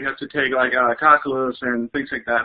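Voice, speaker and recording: Fairly quick speech with a Spanish accent. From Mexico. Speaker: engineering student. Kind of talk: student panel talk.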